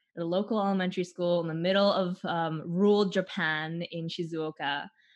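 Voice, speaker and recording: A woman speaks in a normal speaking voice with a Canadian accent, fairly low in pitch and with fairly even intonation. Her pace is moderate, and the background is quiet. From Vancouver, Canada. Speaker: theater artist. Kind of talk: interview.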